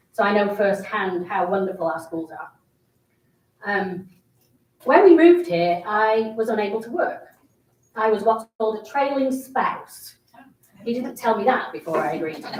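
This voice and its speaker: A woman talks at a moderate pace with lively intonation and a fairly high pitch. She leaves long, frequent pauses. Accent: British. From England. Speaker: city council candidate. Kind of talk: campaign speech. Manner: animated.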